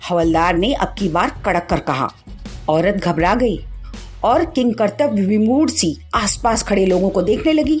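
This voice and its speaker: A woman speaks at a medium pitch with very wide swings in her intonation. Her loudness stays very even while music plays in the background. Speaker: theatre actor. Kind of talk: short story reading.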